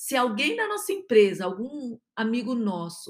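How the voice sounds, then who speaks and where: A woman speaks at a fairly high pitch and a fairly slow pace. It is an unremarkable speaking voice. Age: 50s. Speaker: podcast host, positive psychology speaker. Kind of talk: solo podcast monologue.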